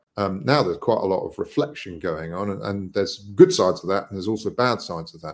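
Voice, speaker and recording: A man speaking very fast in a British accent, with lively intonation, big swings in loudness and hardly any pauses. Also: fairly low pitch for a man. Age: 50s. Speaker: social impact entrepreneur. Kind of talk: interview.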